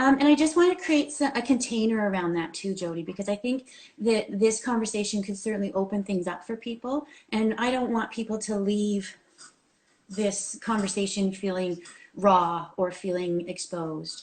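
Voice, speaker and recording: The woman's voice is somewhat breathy. She keeps a medium pitch and varies it in an ordinary way. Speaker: clinical counsellor. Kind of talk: interview on live video show. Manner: fast when excited.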